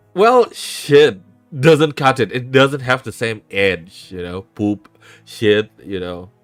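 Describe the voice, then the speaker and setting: Over background music, a man talks at a very slow pace in a medium-pitched voice. His intonation is lively, with big swings in loudness. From Indonesia, South Jakarta. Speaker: vtuber streamer, talk show host. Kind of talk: casual livestream chat. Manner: code-switching English and Indonesian.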